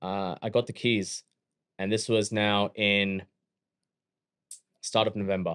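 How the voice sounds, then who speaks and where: Recorded very cleanly against a silent background, a man with a fairly low pitch talks fairly slowly in a flat monotone, leaving long, frequent pauses, the sound dry and close with no echo. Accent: Australian. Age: 30s. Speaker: gym owner and fitness entrepreneur. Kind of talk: casual interview chat.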